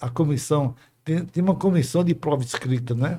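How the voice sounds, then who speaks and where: A man's somewhat breathy, fairly high voice at a moderate pace, with ordinary pitch variation. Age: 80s+. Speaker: retired dentistry professor. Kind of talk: interview storytelling.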